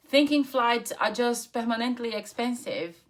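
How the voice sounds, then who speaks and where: A woman with a Brazilian accent at a fairly slow pace. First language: Portuguese. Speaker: travel points content creator. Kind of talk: personal story to camera. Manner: casual, unscripted.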